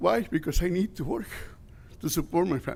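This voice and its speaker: Recorded very cleanly against a silent background, a man speaks at a moderate pace with vocal fry. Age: 60s. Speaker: construction worker at public comment. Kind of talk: public comment speech. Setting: city council meeting. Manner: impassioned.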